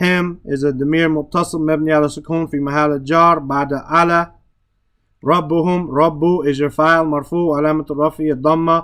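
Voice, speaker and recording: A man speaks at a moderate pace with a fairly high pitch. His intonation stays monotone and flat. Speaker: Arabic grammar and Quran teacher. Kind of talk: lecture. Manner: halting.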